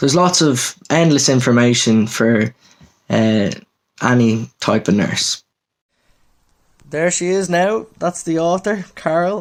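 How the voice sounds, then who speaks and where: In an Irish accent, a man with a fairly high pitch speaks at a very slow pace with very wide pitch swings. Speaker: newly qualified mental health nurse. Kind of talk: book review. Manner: casual, many fillers.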